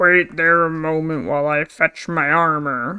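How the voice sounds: A gruff, put-on character voice at middle pitch. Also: moderate pace.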